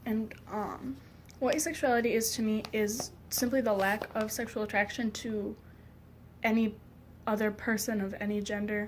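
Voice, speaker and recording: Her voice is somewhat breathy and fairly high-pitched. The woman keeps a monotone, flat intonation at a moderate pace. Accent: American. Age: 20s. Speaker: vlogger. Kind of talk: personal vlog. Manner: hesitant, many fillers.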